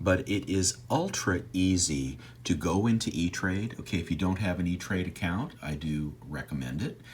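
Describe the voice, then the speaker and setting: Vocal fry colors lively intonation here. The moderate pace runs with hardly any pauses. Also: man, very deep, low pitch for a man. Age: 60s. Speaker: personal finance YouTuber. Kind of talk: screen-share tutorial. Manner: hesitant, many fillers.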